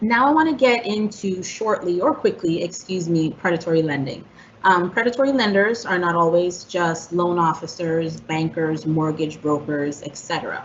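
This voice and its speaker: A woman with an ordinary speaking voice talks at a moderate pace with lively intonation. She leaves hardly any pauses. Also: fairly low pitch for a woman. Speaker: housing counselor presenter. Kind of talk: presentation.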